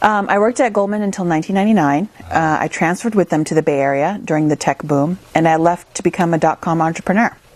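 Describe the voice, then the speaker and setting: A woman with a Midwestern American accent, fairly low in pitch, at a very fast pace. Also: ordinary pitch variation, hardly any pauses. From US Midwest, small-town Minnesota. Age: 30s. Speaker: investor and entrepreneur. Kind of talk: interview.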